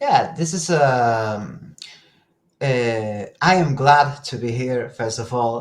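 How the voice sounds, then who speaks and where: A man with a Spanish accent speaks at a very slow pace. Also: medium pitch for a man, ordinary pitch variation. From northern Spain. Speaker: telekinesis practitioner and teacher. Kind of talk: casual interview. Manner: halting, searching for words.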